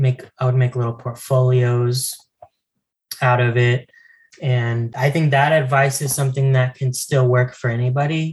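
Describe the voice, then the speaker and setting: A man with an American accent speaks somewhat breathily at a medium pitch, his intonation monotone and flat, his loudness very even and his pace moderate. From US Southwest (El Paso, Texas). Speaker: comic book artist. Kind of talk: casual interview. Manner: halting, many fillers.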